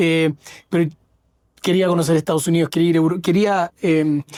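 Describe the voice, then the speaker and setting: The recording has a dry, close sound with no echo, carrying a man's high-pitched voice with a Chilean accent. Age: 40s. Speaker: fintech founder. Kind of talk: interview. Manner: halting, with frequent fillers.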